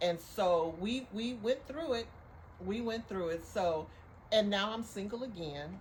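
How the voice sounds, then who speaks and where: A woman with a medium pitch speaks in an animated tone, somewhat breathy, with lively intonation. Her pace is fairly slow, and audible room echo surrounds her. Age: 60s. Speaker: podcast co-host. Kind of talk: casual chat.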